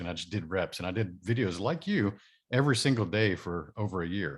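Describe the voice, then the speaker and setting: A man with a Texan accent talks at a very fast pace and a fairly low pitch. The recording is very clean, with a silent background. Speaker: podcast host. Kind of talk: interview.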